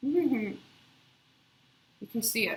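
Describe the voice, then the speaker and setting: Against noticeable background noise, a woman speaks quietly with lively intonation. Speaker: video blogger sharing drug withdrawal experience. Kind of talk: casual video diary. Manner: halting, with many fillers.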